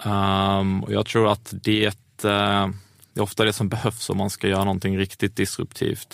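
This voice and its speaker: On a very clean recording with a silent background, a man speaks in a flat monotone at a fairly low pitch and a moderate pace. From Skåne, southern Sweden. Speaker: entrepreneur. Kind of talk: interview. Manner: halting, many fillers.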